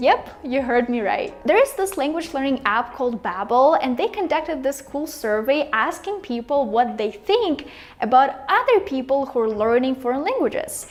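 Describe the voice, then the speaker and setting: A woman speaks with a Russian accent in a high pitch. Her intonation is lively, and background noise is noticeable. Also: moderate pace, hardly any pauses. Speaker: language-learning YouTuber. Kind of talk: casual vlog talk to camera. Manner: animated.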